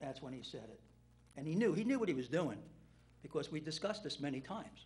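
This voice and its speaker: With an American accent, a man races along at a very fast pace in a fairly high pitch, his pitch swinging very widely and his loudness rising and falling sharply. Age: 60s. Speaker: town official. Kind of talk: public meeting statement.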